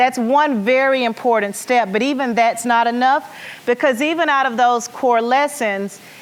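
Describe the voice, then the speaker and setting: In an American accent, an animated voice with ordinary pitch variation comes through noticeable background noise. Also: woman. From US South, rural Arkansas. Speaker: education nonprofit leader. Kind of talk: conference keynote.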